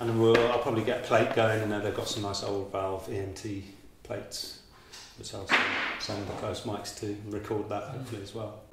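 Loud background noise and audible room echo surround a man talking at a fairly quick pace. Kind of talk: interview answer explaining technique. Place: studio.

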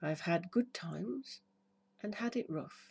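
A very slow, somewhat breathy voice with a soothing tone that is dark and mellow. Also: woman. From United Kingdom. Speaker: hypnotherapist. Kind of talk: poetry reading. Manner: slow, soothing. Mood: warm, soothing, upbeat. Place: garden. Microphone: phone near.

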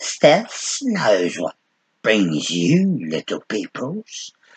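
A man's put-on character voice, medium in pitch, very slow in pace, with hissing. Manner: hissing, slow.

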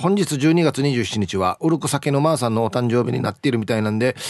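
Very fast and animated, a man speaks at medium pitch. The sound is dry and close with no echo. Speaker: radio host. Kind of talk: casual radio talk reading listener messages. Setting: studio.

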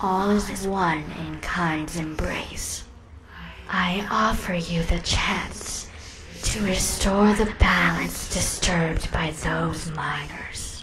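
Whispering at a very slow pace, a woman speaks against clear background noise. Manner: slow, solemn, menacing.

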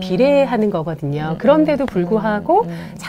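Moderate pace from a woman, with noticeable background noise around her. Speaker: play therapist. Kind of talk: live parenting Q&A. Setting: studio live stream. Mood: warm, smiling, explanatory. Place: studio. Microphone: lapel.

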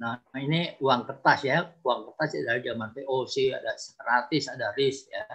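A man speaks at a fairly slow pace with hardly any pauses. The background is quiet. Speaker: archaeologist and writer; guest lecturer on history. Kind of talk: webinar presentation. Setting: video call. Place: home room. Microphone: video call.

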